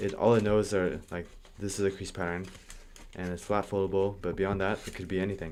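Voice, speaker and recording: A man speaks very fast in a fairly low voice, his intonation fairly even. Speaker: origami designer streamer. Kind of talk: live stream tutorial. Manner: casual, hesitant with many fillers. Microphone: audio issues at start of stream.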